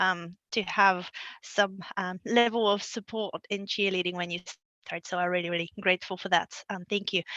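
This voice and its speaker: In a Bulgarian accent, a woman speaks at a medium pitch with a bright, sharp tone and monotone, flat intonation, in a dry, close sound with no echo and a quiet background. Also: moderate pace. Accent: Bulgarian accent, noticeable. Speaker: local government manager. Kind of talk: interview. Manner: halting.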